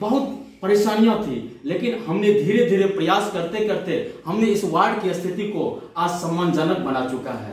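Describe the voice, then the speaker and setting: This man's voice sits high in pitch. The recording has audible room echo and noticeable background noise. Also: lively intonation. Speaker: ward councillor candidate. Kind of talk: interview.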